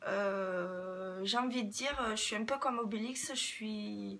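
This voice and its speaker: Here a woman with a southwestern French accent speaks very slowly at a fairly high pitch. Her tone is bright and sharp, with lively intonation. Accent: southwest French. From southwest France, Toulouse area. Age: 30s. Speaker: beauty YouTuber. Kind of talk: casual Q&A vlog. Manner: hesitant, many fillers.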